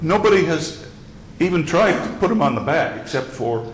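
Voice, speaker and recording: Male speech at a moderate pace, set in audible room echo with noticeable background noise. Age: 70s. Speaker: speaker designer giving a lecture. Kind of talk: lecture. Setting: club meeting with audience. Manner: halting.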